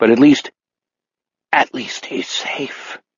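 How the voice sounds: A croaky put-on character voice from a man at medium pitch.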